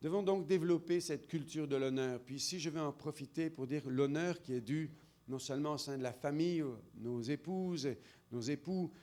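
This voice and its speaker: A man's dark, mellow voice at a fairly high pitch, with ordinary pitch variation and a moderate pace. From France. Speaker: preacher. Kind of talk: sermon. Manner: animated.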